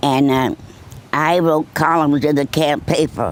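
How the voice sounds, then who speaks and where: Fairly slow speech with a Boston accent. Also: woman. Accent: northern US, Boston. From Boston, Massachusetts. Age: 100s, stated 106. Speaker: war veteran. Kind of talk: interview. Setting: nursing home.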